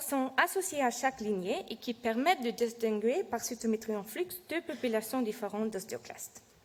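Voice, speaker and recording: With a non-native accent, a woman speaks at a fairly slow pace in a fairly high voice with ordinary pitch variation. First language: not French (speaking French). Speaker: PhD researcher presenting her work. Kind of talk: scientific presentation. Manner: halting, many hesitations and self-corrections; reading from notes.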